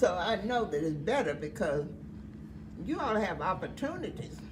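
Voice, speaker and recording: A woman talks over noticeable background noise, with audible room echo around her. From US South. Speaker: elderly woman recalling life. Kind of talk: oral history interview.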